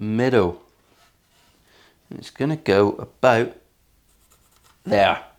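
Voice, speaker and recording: This is a man's voice. He speaks with a Cornish accent. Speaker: luthier, guitar builder. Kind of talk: workshop tutorial. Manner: casual, jokey.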